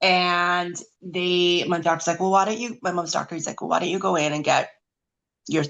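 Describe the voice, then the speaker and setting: A woman with a Canadian accent talks at a moderate pace in a fairly low pitch with fairly even intonation. It is a plain, everyday voice. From Canada, rural British Columbia. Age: 40s. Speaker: omphalocele survivor. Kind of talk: testimony, partly read aloud.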